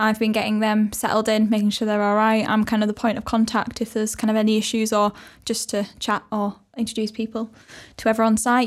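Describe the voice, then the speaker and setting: In a Yorkshire accent, a woman talks at a very fast pace on a very clean recording with a silent background. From Wakefield, West Yorkshire. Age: 20s. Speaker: head of marketing and community at creative hub. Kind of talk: casual chat.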